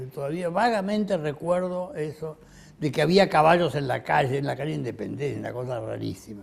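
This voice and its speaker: A somewhat breathy man talks at a fairly quick pace and a fairly high pitch. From Argentina, Buenos Aires. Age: 80s+. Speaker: retired physician. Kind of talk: autobiographical interview. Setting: at home. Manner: halting, with many fillers.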